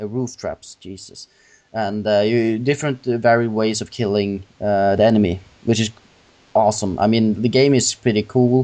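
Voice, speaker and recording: With a non-native accent, this man has a dark, mellow tone and a fairly low pitch, speaking at a moderate pace with fairly even intonation. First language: not English. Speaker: gaming podcast host. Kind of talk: casual chat. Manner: halting.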